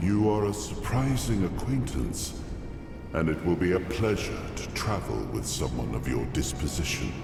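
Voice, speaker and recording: A cartoonish character voice speaks at a moderate pace. Loud background noise and a slight echo surround it. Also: man, very deep, low pitch for a man. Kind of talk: epic fantasy game dialogue. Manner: dignified, measured.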